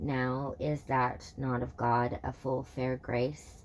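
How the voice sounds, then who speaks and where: A raspy put-on character voice sits at a low-to-middle pitch. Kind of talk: audiobook reading of old verse. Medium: read story. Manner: halting, self-correcting.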